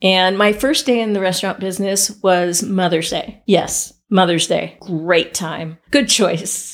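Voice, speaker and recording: Against a silent background on a very clean recording, a woman in an unremarkable speaking voice talks at a fairly slow pace with medium pitch, ordinary pitch variation and hardly any pauses. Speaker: festival culinary producer. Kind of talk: casual interview chat.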